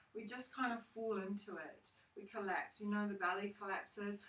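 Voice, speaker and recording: A woman speaks with ordinary pitch variation. Noticeable background noise runs underneath. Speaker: yoga teacher. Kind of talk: guided yoga class instruction. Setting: home studio recorded with a phone. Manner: calm, soothing, instructional.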